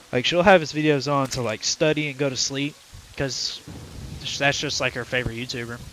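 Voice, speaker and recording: A man talks at a fairly quick pace in a fairly high voice, with fairly even intonation. Noticeable background noise runs underneath. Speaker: gaming streamer. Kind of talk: casual live-stream chat. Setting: live stream. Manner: loud.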